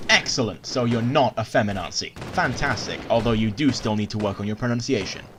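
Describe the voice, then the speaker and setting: A man's medium-pitched voice, with fairly even intonation, competes with noticeable background noise. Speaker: YouTube commentator. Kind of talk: reaction commentary video. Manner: sarcastic, mocking.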